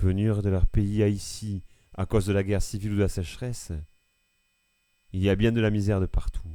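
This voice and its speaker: At a fairly slow pace, a man speaks with a fairly low pitch, ordinary pitch variation and a dark, mellow tone. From France, Ardèche (Eyrieux valley). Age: 70s. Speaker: farmer. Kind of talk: documentary testimony.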